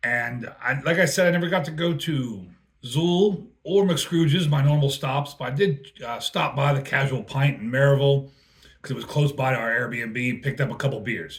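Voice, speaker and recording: Somewhat breathy, this man speaks at a fairly high pitch with ordinary pitch variation. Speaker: beer reviewer, touring crew member. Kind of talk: casual product review. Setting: hotel room.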